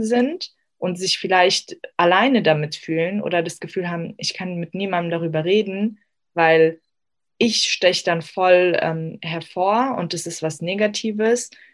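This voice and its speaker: A woman with an unremarkable speaking voice and a fairly low pitch speaks at a fairly slow pace with ordinary pitch variation. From Germany, Afghan family. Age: 20s. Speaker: psychology student. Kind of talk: interview.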